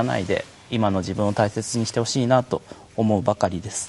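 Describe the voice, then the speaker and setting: A man has a plain, everyday voice. He talks at a moderate pace with ordinary pitch variation. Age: 30s. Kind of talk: live stream panel talk. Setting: internet live stream.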